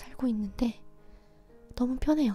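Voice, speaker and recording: A woman's calm, fairly high voice with fairly even intonation over music in the background. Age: 20s. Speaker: ASMR creator and radio host. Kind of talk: late-night personal diary-style radio talk. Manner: soft, calm, intimate, slow.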